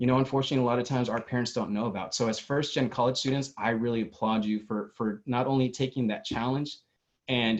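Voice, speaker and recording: Talking at a fairly quick pace, this man has a Spanish accent. His intonation stays fairly even. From Mexico (moved to US at age three). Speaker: youth conference host. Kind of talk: conference emcee remarks.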